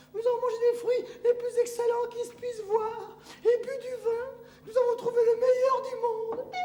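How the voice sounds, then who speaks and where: A put-on character voice, extremely high and monotone with flat intonation, comes through with a slight echo. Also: moderate pace. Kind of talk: classical French stage comedy. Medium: stage play. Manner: animated, theatrical.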